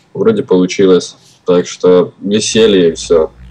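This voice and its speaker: The speech moves at a very slow pace. Noticeable background noise runs throughout. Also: man. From Ukraine, Kyiv. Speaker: drum and bass producer. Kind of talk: interview. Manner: casual slangy.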